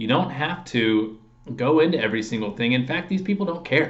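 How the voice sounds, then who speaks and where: Lively intonation marks a man's speech, with audible room echo around it. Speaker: sales trainer for insurance agents. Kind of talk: tutorial. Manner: fast.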